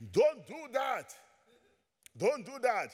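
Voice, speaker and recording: With a Nigerian accent, a man speaks in an animated tone. His pitch swings very widely. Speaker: visiting pastor. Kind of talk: sermon. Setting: church. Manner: animated, preaching.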